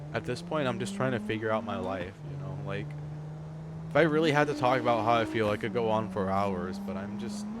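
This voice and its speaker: Amid audible room echo and noticeable background noise, a man with a fairly low pitch talks at a fairly quick pace with very wide pitch swings. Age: 20s. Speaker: live streamer. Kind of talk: casual livestream chat.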